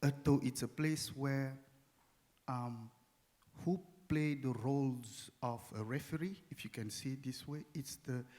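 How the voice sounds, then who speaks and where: Speaking with a non-native accent, a man at medium pitch goes fairly slowly, with long, frequent pauses and fairly even intonation. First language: not English. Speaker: performance artist. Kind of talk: panel discussion. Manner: halting.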